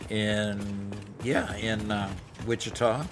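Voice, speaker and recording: With music in the background and audible room echo, a man with an American accent speaks very slowly at a medium pitch. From US Pacific Northwest, Seattle area. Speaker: gaming streamer. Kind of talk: casual chat during livestream gameplay.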